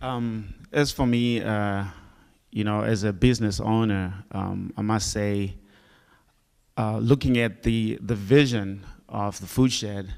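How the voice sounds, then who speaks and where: Speaking at a very slow pace in a Zimbabwean accent, a man uses a fairly low pitch and fairly even intonation. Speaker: farmer and business owner. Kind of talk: panel discussion.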